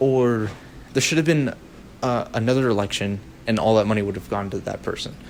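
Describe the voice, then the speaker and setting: The pace is fairly quick. The speaker is a man. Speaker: political commentary youtuber. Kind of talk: unscripted rant. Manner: fast; animated.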